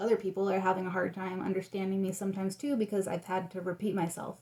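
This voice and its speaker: Dark, mellow tone from a woman at a medium pitch, with monotone, flat intonation. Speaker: vlogger. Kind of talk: casual vlog monologue. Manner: chatty, many fillers.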